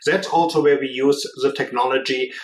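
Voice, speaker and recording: A man talks with a strong German accent. He moves at a fairly quick pace. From Germany. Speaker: business executive. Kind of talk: podcast interview.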